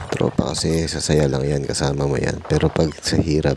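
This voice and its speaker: Soft-spoken and monotone, a man with a very deep, low pitch talks with flat intonation at a moderate pace over noticeable background noise. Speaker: vlogger. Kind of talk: voice-over narration.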